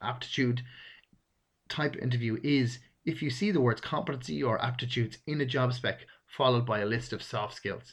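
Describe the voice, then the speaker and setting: At a moderate pace, a man with an Irish accent speaks at a medium pitch with ordinary pitch variation, over a quiet background. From Ireland. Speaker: podcast host, recruitment advisor. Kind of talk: solo instructional talk.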